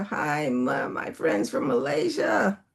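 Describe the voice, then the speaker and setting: A woman is the speaker. Her accent is American. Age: 70s. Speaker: master coach. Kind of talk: online talk with live audience. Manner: conversational.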